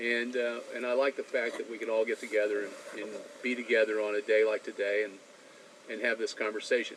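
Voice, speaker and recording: Talking very fast, a man delivers flat, monotone speech at a medium pitch against noticeable background noise. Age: 60s. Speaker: podcast panelist. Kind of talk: casual chat. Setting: on a boat.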